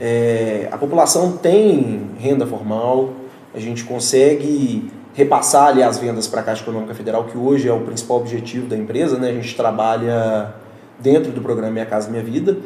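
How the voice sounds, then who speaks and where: A man with a Minas Gerais accent at a moderate pace, with audible room echo and noticeable background noise. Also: medium pitch for a man, ordinary pitch variation. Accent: mineiro. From Minas Gerais, Brazil. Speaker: real estate developer representative. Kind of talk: casual interview on live podcast. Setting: live stream studio.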